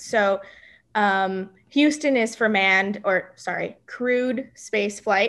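With an American accent, a woman speaks at a very slow pace and fairly high pitch against a quiet background. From South Texas, Rio Grande Valley near the Mexican border. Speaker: NASA systems analyst. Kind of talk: casual interview.

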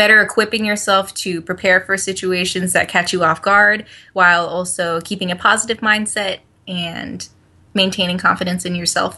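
Speaking at a moderate pace, a woman with an American accent uses a medium pitch, a bright, sharp tone and flat, monotone intonation. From Northern Virginia, US (Alexandria). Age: 20s. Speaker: actress and adoptee advocate. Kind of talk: casual interview.

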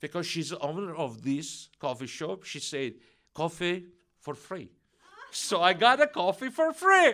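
A man with a Russian accent, high pitch, very wide pitch swings, big swings in loudness, a bright, sharp tone and a fairly slow pace. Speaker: preacher at Messianic congregation. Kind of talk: sermon. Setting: church congregation.

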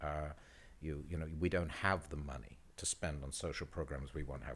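A man with a British accent speaks at a moderate pace with vocal fry and ordinary pitch variation. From Britain. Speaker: photographer. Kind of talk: casual chat.

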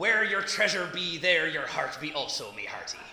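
A man puts on a character voice pitched high, speaking at a moderate pace with a slight echo. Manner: jokey.

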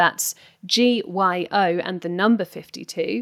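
A woman with a British accent at a very slow pace and lively intonation, on a very clean recording with a silent background. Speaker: podcast host, magazine editor. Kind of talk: casual chat.

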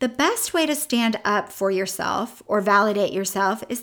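A woman with an unremarkable speaking voice talks at a fairly slow pace with lively intonation and fairly high pitch. The recording is very clean with a silent background. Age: 50s. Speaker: weight loss coach and podcast host. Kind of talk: motivational monologue. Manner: upbeat, encouraging.

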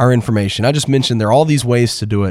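A man talks in an upbeat, animated tone. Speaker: podcast host. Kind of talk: podcast hosting, news reading.

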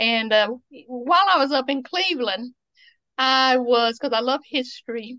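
A high-pitched woman with an Appalachian accent, fairly slow, with ordinary pitch variation. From Eastern Kentucky. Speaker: museum founder and author. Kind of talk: casual interview.

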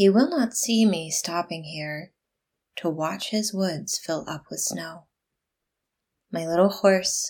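Soft-spoken and somewhat breathy, a woman with a medium pitch talks at a very slow pace in a gentle, soothing tone with ordinary pitch variation, on a very clean recording with a silent background. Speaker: podcast host. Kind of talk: poem reading aloud, gentle and reflective. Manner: soft, gentle; slow, unhurried, soothing.

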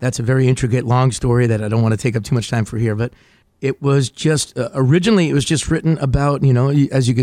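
The voice has a dark, mellow tone with an American accent and a very fast pace. The recording is very clean, with a silent background and a dry, close sound with no echo. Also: man. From New Jersey. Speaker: singer-songwriter and TV host. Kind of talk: radio interview.

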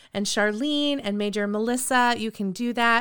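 A woman's fairly high-pitched voice with a bright, sharp tone at a moderate pace. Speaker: podcast host. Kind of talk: casual group interview and prayer. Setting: video call. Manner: enthusiastic.

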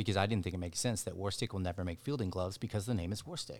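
Speaking at a very fast pace with an American accent, a man with a fairly low pitch and ordinary pitch variation comes through on a very clean recording with a silent background. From Dallas, Texas. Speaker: baseball brand co-founder, former pro baseball player. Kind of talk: casual interview.

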